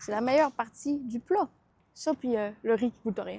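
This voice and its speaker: Here a woman talks with an animated tone, vocal fry and a fairly high pitch that varies in an ordinary way. The sound is dry and close, with no echo. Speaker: food vlogger. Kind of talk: casual food review vlog.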